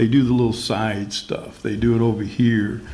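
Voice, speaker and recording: A man's medium-pitched voice at a moderate pace, with fairly even intonation and audible room echo. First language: Spanish. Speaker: panelist at community discussion on race. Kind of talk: panel discussion.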